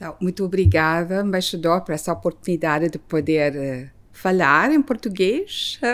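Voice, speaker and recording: With hardly any pauses, a woman talks at a moderate pace and fairly low pitch, with ordinary pitch variation and big swings in loudness. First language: Filipino/English; Portuguese learned in 5 years (speaking Portuguese). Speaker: ambassador. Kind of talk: interview. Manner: halting, with hesitations.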